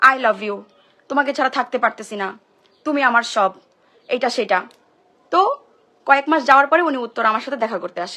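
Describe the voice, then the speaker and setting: Her voice is high-pitched with a bright, sharp tone, as this woman shows ordinary pitch variation and big swings in loudness. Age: 20s. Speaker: social media personality. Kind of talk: emotional live-stream monologue. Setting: social media live stream.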